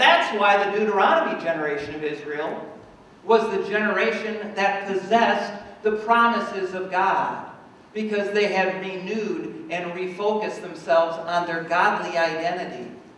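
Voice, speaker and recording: Strong room echo surrounds a man's high-pitched voice as he talks at a moderate pace with ordinary pitch variation. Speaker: pastor. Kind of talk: sermon. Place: church.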